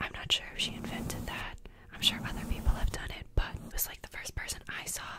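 Whispering and soft-spoken, a woman talks at a very fast pace in a dry sound with no echo, with loud background noise behind her. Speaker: ASMR creator. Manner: soft close-mic ASMR whisper. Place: home room. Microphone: studio mic.

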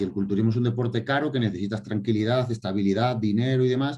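A dark, mellow, somewhat breathy voice speaks at a very fast pace over a quiet background. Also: man. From Spain, Extremadura. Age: 30s. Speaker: bodybuilder; interviewee. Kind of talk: interview. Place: home room. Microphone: video call.

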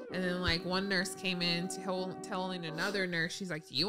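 Over clear music in the background, a woman speaks at a very fast pace. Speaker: pregnant vlogger, podcast co-host. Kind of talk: casual podcast storytelling. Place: home room. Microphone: studio mic.

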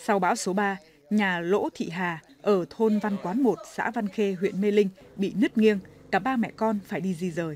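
A woman with a Hanoi accent, medium in pitch, at a fairly slow pace with ordinary pitch variation. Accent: Hanoi Vietnamese. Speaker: news reporter. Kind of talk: news reading.

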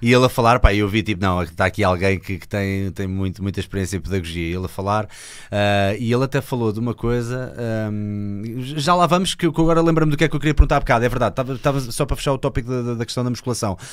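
Very fast speech from a man with a European Portuguese accent, lively intonation, and a quiet background. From Portugal. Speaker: podcast host. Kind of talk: interview questions, casual conversation. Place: studio. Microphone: studio mic.

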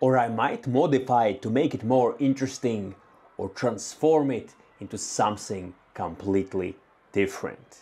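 A man's dark, mellow tone carries ordinary pitch variation at a moderate pace. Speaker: maker channel host. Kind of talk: casual vlog chat. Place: workshop. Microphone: lapel.

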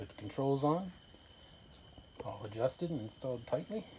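A man's lively intonation at a moderate pace, with light background noise. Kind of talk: casual vlog chat. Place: garden. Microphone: phone near.

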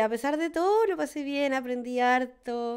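A woman speaks with a Chilean accent. Her pitch varies in an ordinary way. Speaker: comedy podcast co-host. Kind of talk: casual chat. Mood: relaxed, joking. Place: studio. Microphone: studio mic.

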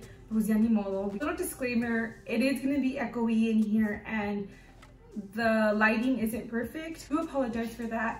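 A woman at a moderate pace with ordinary pitch variation and audible room echo. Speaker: fashion vlogger. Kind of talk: casual vlog chat. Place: home room. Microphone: camera far.

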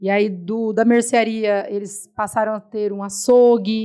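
Fairly slow delivery from a woman at a medium pitch. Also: quiet background. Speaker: supermarket owner; podcast guest. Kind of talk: interview. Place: studio. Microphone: studio mic.

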